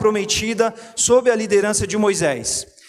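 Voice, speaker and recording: High male voice, fairly even in intonation, against noticeable background noise. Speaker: pastor. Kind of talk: sermon.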